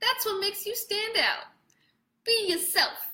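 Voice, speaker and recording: In a put-on character voice, a woman speaks with a New York accent in a squeaky, extremely high pitch at a moderate pace. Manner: reassuring.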